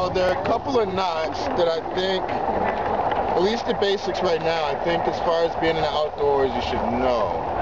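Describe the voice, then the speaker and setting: Over loud background noise, a man with an American accent speaks at a moderate pace with hardly any pauses, the sound dry and free of echo. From Baltimore, Maryland. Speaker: park ranger. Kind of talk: outdoor skills demonstration. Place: open country.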